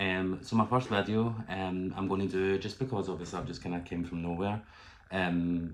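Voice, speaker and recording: In a Glaswegian accent, a man with a very deep, low voice talks at a fairly quick pace with fairly even intonation and audible room echo. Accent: Glaswegian Scottish. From Scotland, Glasgow. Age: 20s. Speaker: YouTuber and barber. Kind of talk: casual vlog talk.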